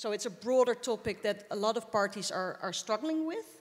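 This woman speaks with a Dutch accent. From Netherlands. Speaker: politician, member of parliament; politician. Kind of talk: panel discussion. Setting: stage with audience. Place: stage. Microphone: handheld.

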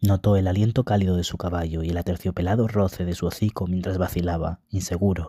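Over a very clean recording with a silent background and a dry, close sound with no echo, a man with a very deep, low pitch and a dark, mellow tone speaks somewhat breathily at a fairly quick pace with fairly even intonation. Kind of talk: audiobook reading aloud of a fantasy novel.

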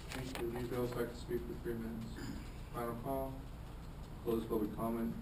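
A man's voice at medium pitch, monotone and flat, at a fairly quick pace, with clear background noise.

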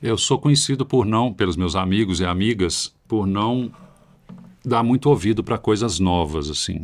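A man with a normal speaking voice talks at a moderate pace, his pitch fairly low and its variation ordinary. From Brazil. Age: 50s. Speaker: heavy metal guitarist; podcast guest. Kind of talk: casual chat. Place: studio. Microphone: studio mic.

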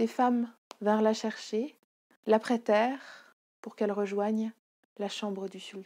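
Quiet surroundings, an unforced reading voice, and fairly even intonation

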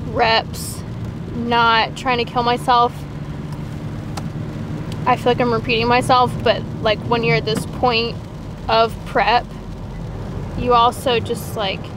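A woman's very slow, fairly even speech with long, frequent pauses, a dry sound with no echo, and noticeable background noise. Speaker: fitness vlogger. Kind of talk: casual vlog chat. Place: car. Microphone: lapel.

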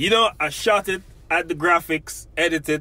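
A man with a Jamaican accent speaks at a fairly slow pace in a bright, sharp tone, his pitch varying in an ordinary way. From Jamaica, Portland parish. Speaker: podcast host. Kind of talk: interview.

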